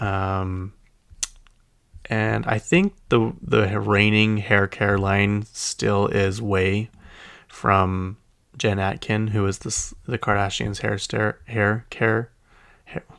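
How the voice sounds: With a Utah accent, the speaker talks at a slow pace in a fairly bright tone with vocal fry and little pitch movement. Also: man, fairly low pitch for a man. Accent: Utah American.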